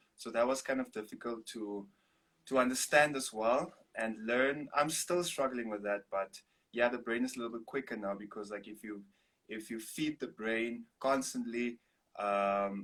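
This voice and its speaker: Male speech in a South African accent, medium pitch, ordinary pitch variation and a moderate pace. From Namibia. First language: Afrikaans. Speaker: singer-songwriter and artist. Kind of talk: interview.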